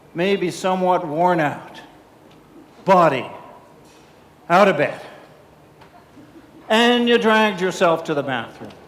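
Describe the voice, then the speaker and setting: Fairly slow, high-pitched speech from a man, with ordinary pitch variation, long, frequent pauses and audible room echo. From Canada. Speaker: keynote speaker, public speaking club president. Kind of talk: keynote speech. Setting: stage with audience at conference. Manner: animated.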